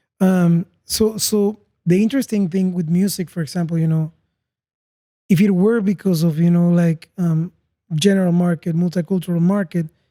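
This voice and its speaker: Moderate pace with a Spanish accent. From Panama. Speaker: podcast host. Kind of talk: casual interview chat.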